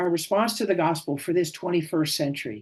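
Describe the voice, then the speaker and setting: Against a quiet background, the speech unfolds at a moderate pace. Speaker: clergy speaker on affordable housing. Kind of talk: conference presentation.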